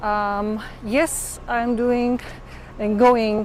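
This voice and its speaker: A woman with a Czech accent speaks at a medium pitch in a monotone, flat intonation. Noticeable background noise is present. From Czech Republic. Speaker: vlogger. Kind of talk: live stream chat. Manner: halting, many fillers.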